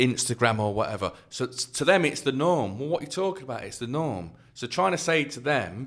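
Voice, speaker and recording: Speaking with an East Midlands accent, a man at medium pitch moves at a fairly quick pace with hardly any pauses, lively intonation and big swings in loudness. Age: 40s. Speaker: author and youth worker. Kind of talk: podcast interview.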